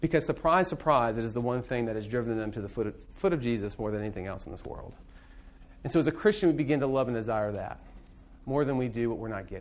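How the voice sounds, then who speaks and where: There is audible room echo as a man talks at a very fast pace with lively intonation. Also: medium pitch for a man. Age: 30s. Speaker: pastor. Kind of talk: lecture.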